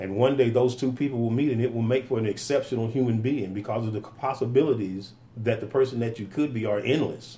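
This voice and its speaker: A man's dark, mellow, somewhat breathy voice at a medium pitch, very fast with hardly any pauses. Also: fairly even intonation. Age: 50s. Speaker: podcast co-host. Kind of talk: casual chat. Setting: studio.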